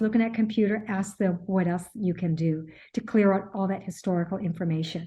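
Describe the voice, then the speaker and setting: A somewhat breathy woman with a dark, mellow tone, fairly quick pace and ordinary pitch variation against a quiet background. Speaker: accountant and tax advisor, webinar presenter. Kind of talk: webinar presentation Q&A. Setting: online webinar. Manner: fast; halting, many fillers and repeats.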